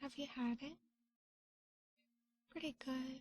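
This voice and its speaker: Soft-spoken, a woman talks in a relaxed tone. Her voice is high-pitched. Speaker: vtuber, ASMR streamer. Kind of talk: ASMR roleplay stream, soft-spoken chat. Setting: studio, binaural microphone. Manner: soft-spoken, relaxed.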